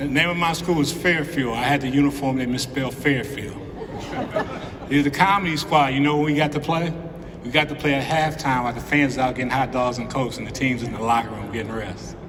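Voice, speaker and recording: A man's fairly high voice at a very fast pace, with audible room echo and noticeable background noise. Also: ordinary pitch variation. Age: 60s. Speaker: hall of fame inductee, former basketball player. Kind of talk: acceptance speech. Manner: animated.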